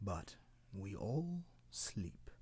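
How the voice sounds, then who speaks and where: Low in pitch, this put-on character voice swings very widely up and down. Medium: read story. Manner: gentle, matter-of-fact.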